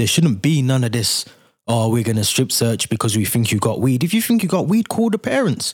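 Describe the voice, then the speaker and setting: At a fairly quick pace, a man speaks in a somewhat breathy voice with medium pitch and very even loudness. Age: 30s. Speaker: podcast host. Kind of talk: casual solo commentary.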